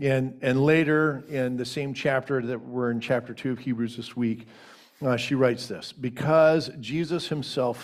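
A man talks in a plain, everyday voice at a medium pitch. His pace is fairly slow, with ordinary pitch variation. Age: 50s. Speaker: co-pastor. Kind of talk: sermon. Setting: church.

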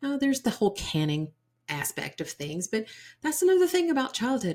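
Somewhat breathy female voice with an American accent on a very clean recording with a silent background. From US South, Georgia. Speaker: podcast host and holistic psychiatry provider. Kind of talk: storytelling monologue.

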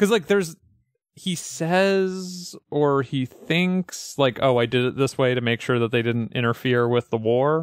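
A man with an American accent has an ordinary speaking voice and lively intonation, speaking at a fairly slow pace. The recording is very clean with a silent background and a dry, close sound with no echo. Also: medium pitch for a man. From US Northeast, western Massachusetts. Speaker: podcast host. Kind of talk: casual chat.

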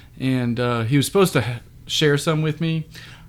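Here a man with an American accent uses a plain, everyday voice. He moves at a moderate pace with ordinary pitch variation. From US South. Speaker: podcast co-host. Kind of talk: casual chat.

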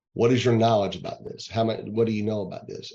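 Talking at a fairly quick pace, a man uses a fairly low pitch and monotone, flat intonation. He has an American accent. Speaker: home inspector and realtor. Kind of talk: interview. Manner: halting with fillers.

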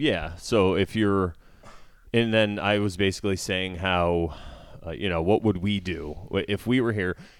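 Speaking with an American accent, a man has an unremarkable speaking voice, fairly low in pitch, with ordinary pitch variation at a fairly slow pace. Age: 40s. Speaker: podcast host and comedian. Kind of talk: casual chat.

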